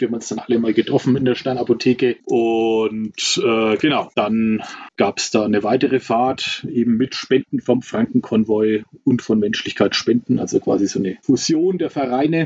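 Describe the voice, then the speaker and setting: In a normal speaking voice, a man of medium pitch talks at a moderate pace with ordinary pitch variation, in a dry, close sound with no echo. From Franconia, Germany (Nuremberg). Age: 40s. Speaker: volunteer aid driver. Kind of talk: casual interview. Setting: remote call from Mexico.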